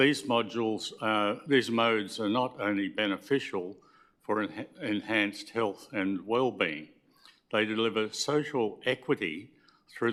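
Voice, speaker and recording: Speaking at a moderate pace with an Australian accent, a man has a fairly low pitch and ordinary pitch variation. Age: 80s+. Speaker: member of the public addressing council. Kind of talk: public submission at council meeting. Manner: formal; halting.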